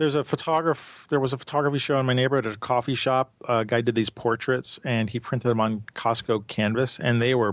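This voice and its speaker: In a New York accent, a man talks at a fairly quick pace and medium pitch, with fairly even intonation and very even loudness on a very clean recording with a silent background. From New York, Brooklyn. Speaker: photographer. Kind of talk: casual chat.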